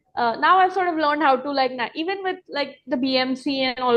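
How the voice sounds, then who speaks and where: Speaking at a fairly quick pace in a Marathi accent, a woman has a high pitch. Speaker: restaurant owner and pastry chef. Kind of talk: interview. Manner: casual, many fillers.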